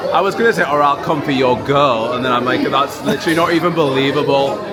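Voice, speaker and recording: A man talking at a very fast pace with ordinary pitch variation, audible room echo and crowd noise in the background. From Britain. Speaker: travel vlogger. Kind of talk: casual vlog chat. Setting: outdoors at theme park. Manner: animated.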